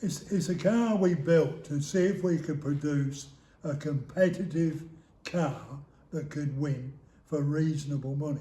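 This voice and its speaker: In an English accent, a man with a fairly high, somewhat breathy voice and a dark, mellow tone speaks at a fairly slow pace with fairly even intonation, with audible room echo. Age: 70s. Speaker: retired motorsport business founder. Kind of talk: interview.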